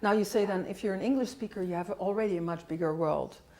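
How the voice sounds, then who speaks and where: With a Dutch accent, the speaker goes at a very fast pace with ordinary pitch variation. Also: woman. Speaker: linguistics professor. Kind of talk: interview. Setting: colloquium.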